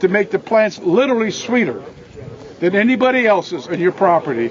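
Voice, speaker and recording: Against noticeable background noise, a man speaks at a fairly quick pace in a high pitch with lively intonation. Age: 80s+. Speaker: deer habitat expert. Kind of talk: outdoor tour talk.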